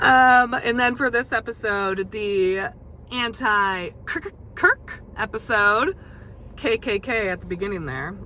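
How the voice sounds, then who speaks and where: Bright and sharp in tone, a woman speaks at a fairly high pitch with lively intonation and a very slow pace. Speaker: podcast host. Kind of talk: casual monologue. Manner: hesitant, many fillers.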